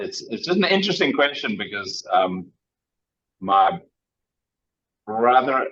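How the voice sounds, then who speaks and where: Medium pitch from a man. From South Africa. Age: 50s. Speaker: inventor. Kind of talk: casual chat. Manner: halting, many fillers.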